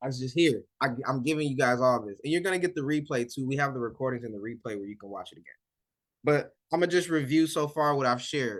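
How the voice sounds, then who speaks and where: At a very fast pace, a man with a fairly high pitch talks in an animated tone, with ordinary pitch variation and big swings in loudness. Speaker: weight loss coach. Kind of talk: live online coaching session.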